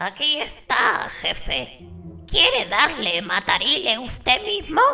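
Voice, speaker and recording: A female-sounding, high-pitched put-on character voice. It moves at a fairly slow pace. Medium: read story. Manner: nervous, servile.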